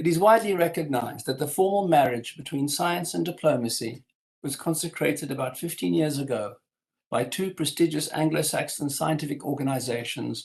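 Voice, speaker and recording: A somewhat breathy man speaks at a fairly quick pace. His pitch is fairly high, with ordinary variation. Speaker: history professor. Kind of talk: lecture. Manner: formal.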